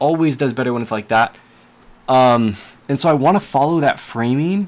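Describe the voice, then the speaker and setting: A man with an American accent speaks fairly slowly at a medium pitch, with ordinary pitch variation. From California. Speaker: video game streamer. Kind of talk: casual livestream talk while editing clips.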